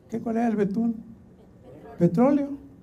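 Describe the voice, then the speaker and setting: The man's voice has a dark, mellow tone. Audible room echo surrounds it. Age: 70s. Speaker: Bible translator. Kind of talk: conference talk.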